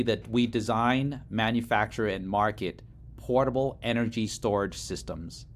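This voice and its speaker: Vocal fry marks this man's voice, which sits at a medium pitch with ordinary pitch variation. He talks at a moderate pace. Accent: American. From Laos, came to US as refugee in early 1980s. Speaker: startup CEO. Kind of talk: interview.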